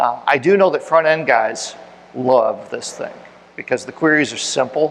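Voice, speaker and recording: Loudness swings widely as a man talks against noticeable background noise. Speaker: tech conference speaker. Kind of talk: technical talk with audience Q&A. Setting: meetup room with audience. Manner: fast.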